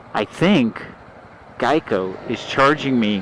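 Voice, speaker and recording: In a room with audible echo and noticeable background noise, a man talks at a medium pitch. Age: 60s. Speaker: motorcycle vlogger. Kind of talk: casual riding vlog monologue. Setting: riding a motorcycle outdoors. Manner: casual with hesitations and fillers.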